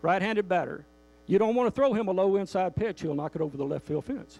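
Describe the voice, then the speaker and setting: A man speaks with a high pitch and lively intonation. The sound is dry and close, with no echo. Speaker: motivational speaker. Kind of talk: motivational speech to a live audience. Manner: humorous.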